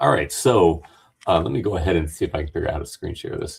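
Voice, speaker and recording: A man speaks in a somewhat breathy voice. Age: 50s. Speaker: dental technician and debate streamer. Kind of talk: casual discussion. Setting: video call from his dental lab. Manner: halting, many fillers.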